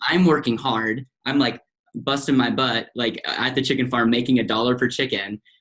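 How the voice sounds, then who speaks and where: Medium pitch, a moderate pace and an American accent from a man. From US Midwest, central Wisconsin. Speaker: financial advisor. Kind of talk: podcast interview. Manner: animated.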